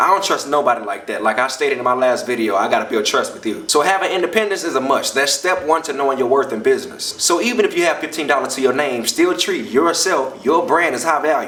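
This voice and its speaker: A man talks at a very fast pace with hardly any pauses. There is noticeable background noise. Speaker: comedian and spoken word performer. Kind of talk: motivational talk to camera.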